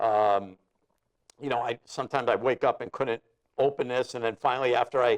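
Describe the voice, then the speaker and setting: A man's medium-pitched voice at a fairly quick pace, with fairly even intonation, long and frequent pauses, and a dry, close sound with no echo. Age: 60s. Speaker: guitarist. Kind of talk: casual chat. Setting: studio.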